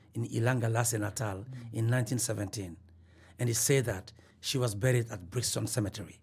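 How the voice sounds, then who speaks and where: A man's somewhat breathy voice at a moderate pace. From Mali. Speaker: professor and documentary filmmaker. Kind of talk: interview. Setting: in person. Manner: halting, many fillers.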